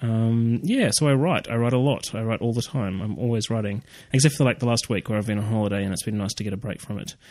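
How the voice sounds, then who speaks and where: Speaking very fast, a man uses a medium pitch with ordinary variation. He has an Australian accent. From Australia, Canberra. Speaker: writer. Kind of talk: casual interview.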